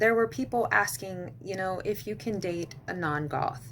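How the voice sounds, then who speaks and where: With music in the background, a woman with an American accent speaks fairly slowly in a fairly low voice with very wide pitch swings. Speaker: goth lifestyle vlogger. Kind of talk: casual advice vlog.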